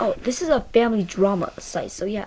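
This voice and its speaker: A woman's voice with very wide pitch swings over noticeable background noise. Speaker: online storyteller reading Reddit posts. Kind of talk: reading aloud with casual commentary. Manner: fast.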